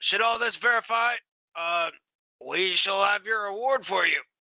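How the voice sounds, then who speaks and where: The voice is a put-on character voice, raspy in texture. Its pitch sits fairly high. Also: moderate pace. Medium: actual play. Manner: dry, officious.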